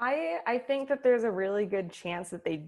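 In an American accent, a woman talks with an ordinary speaking voice at a moderate pace. Her pitch variation is ordinary, and the recording is very clean with a silent background. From Oakland, California. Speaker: sports journalist. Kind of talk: casual chat.

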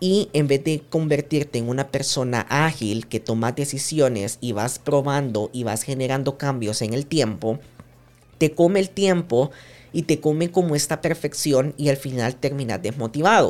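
A man speaks in a normal speaking voice with a fairly high pitch. His pitch varies in an ordinary way, and his pace is fairly slow. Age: 20s. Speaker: podcast host and digital projects consultant. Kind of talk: solo monologue podcast.

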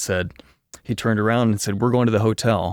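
The recording is very clean, its background silent. A man speaks very fast. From Kentucky. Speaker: voiceover artist and audio producer. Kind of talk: interview conversation.

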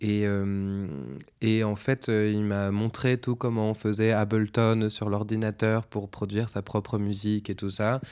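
Very slowly and in a monotone, flat intonation, a man talks at a fairly low pitch on a very clean recording with a silent background. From northern France (Picardy). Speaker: singer-songwriter. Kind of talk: interview. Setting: at home. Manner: halting.

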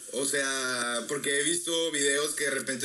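A man speaks at a moderate pace and a medium pitch, with noticeable background noise and audible room echo. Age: 20s. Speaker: music student. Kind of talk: casual chat.

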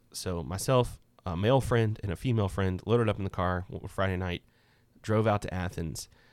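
A man with a plain, everyday voice speaks at a fairly low pitch with ordinary pitch variation. The recording is very clean, and the background is silent. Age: 30s. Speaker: podcast co-host sharing his personal story. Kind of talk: casual chat.

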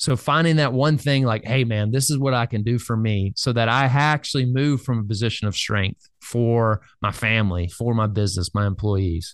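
A man at medium pitch speaks at a moderate pace with hardly any pauses, his loudness very even and his pitch varying in an ordinary way. The background is quiet. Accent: Southern US. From US South, Birmingham, Alabama. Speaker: life coach. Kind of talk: interview.

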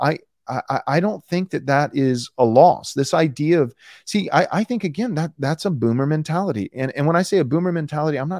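With an ordinary speaking voice, a man at fairly high pitch talks at a fairly quick pace with lively intonation, the sound dry and close with no echo. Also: very clean recording, silent background. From Texas. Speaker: pastor and author. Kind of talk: interview.

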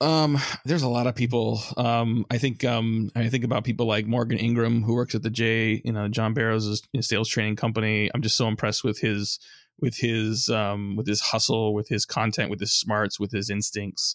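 At a moderate pace and medium pitch, a man with an American accent speaks in an unremarkable speaking voice, with fairly even intonation and very even loudness on a very clean recording with a silent background. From US West Coast (San Francisco Bay Area). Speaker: marketing agency founder. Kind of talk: interview.

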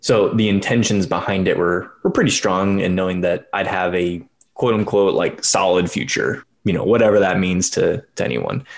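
In an ordinary speaking voice, a man with a fairly low pitch talks at a moderate pace with ordinary pitch variation and hardly any pauses. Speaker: podcast host. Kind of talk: casual conversation. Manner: laughs often, friendly.

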